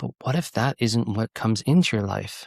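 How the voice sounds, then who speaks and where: The voice carries vocal fry and an American accent. The recording is very clean with a silent background and a dry, close sound with no echo. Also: man. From California (Goleta, near Santa Barbara). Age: 40s. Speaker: executive coach and author. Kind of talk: podcast interview.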